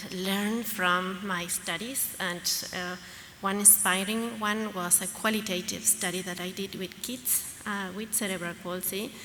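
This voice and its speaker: With a Latin American accent, a woman speaks at a fairly slow pace in a medium pitch with fairly even intonation, amid noticeable background noise and audible room echo. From Argentina. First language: Spanish. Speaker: pediatrician and researcher. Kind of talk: conference talk. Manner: halting, many fillers.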